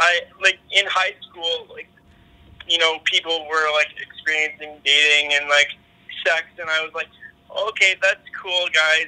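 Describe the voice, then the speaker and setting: A man with a Canadian accent and a high pitch talks in a monotone, flat way at a fairly slow pace, with long, frequent pauses. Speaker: podcast guest. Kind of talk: casual interview chat. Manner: halting, repeats words.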